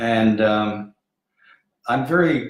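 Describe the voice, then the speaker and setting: The speaker is a man whose voice sits at a fairly low pitch. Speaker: spiritual medium. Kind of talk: live stream psychic readings. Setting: Facebook live video stream. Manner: halting, repeats words.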